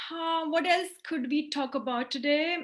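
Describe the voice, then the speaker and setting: With a bright, sharp tone, a woman projects a raised voice at extremely high pitch, her intonation fairly even. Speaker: lecturer. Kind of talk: lecture.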